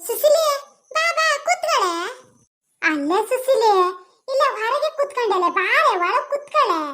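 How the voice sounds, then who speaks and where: A squeaky, cartoonish character voice from a woman at an extremely high pitch, very slow, with very even loudness and very wide pitch swings. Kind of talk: village comedy cartoon. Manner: loud, rambling, mishears and answers off topic.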